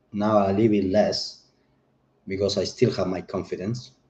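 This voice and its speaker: A man's fairly low, dark, mellow voice with a non-native accent. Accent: foreign accent in English. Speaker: chef and political commentator. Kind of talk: livestream monologue. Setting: home livestream on camera. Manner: animated; halting.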